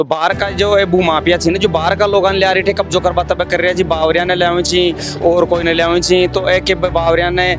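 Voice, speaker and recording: A man's high voice with monotone, flat intonation, very even loudness and hardly any pauses, with music in the background. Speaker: local news reporter. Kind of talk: field news report. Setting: outdoors at village protest.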